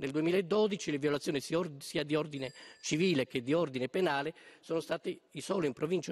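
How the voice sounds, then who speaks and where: A man speaks at a moderate pace in a fairly high voice, with ordinary pitch variation. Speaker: member of parliament. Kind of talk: parliamentary oratory, formal question. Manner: hesitant, many filler sounds. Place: hall. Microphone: podium.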